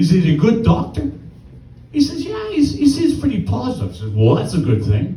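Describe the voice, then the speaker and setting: Noticeable background noise is present while a man talks. The room gives his voice an audible echo. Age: 60s. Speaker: amateur stand-up comedian. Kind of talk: stand-up. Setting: stage with audience.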